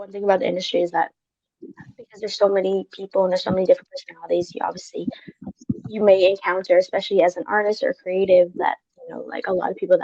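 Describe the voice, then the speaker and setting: A woman with an American accent talks very fast, with big swings in loudness and long, frequent pauses. The sound is dry and close, with no echo. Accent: American-sounding. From Hong Kong. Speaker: music manager. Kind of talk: webinar Q&A. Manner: casual, many fillers.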